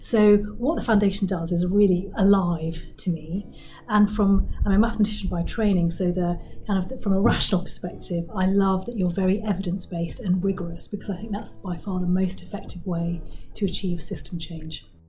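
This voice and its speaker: A woman's voice at a fairly quick pace, with audible room echo. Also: medium pitch for a woman, fairly even intonation. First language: not English. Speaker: charity board chair. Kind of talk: interview answers. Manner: hesitant fillers, some repetition.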